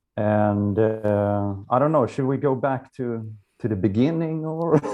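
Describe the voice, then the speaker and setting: A man with a Swedish accent, medium pitch, ordinary pitch variation and a fairly slow pace. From Sweden. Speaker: musician. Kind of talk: interview. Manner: halting.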